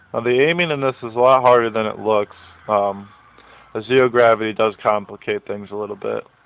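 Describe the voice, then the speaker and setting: Noticeable background noise sits under a man speaking in a medium pitch with ordinary pitch variation. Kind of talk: gameplay commentary.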